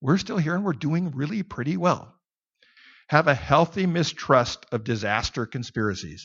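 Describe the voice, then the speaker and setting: This man's pitch is fairly high, with very wide swings and vocal fry. His pace is moderate. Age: 60s. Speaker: Bible teacher. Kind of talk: sermon.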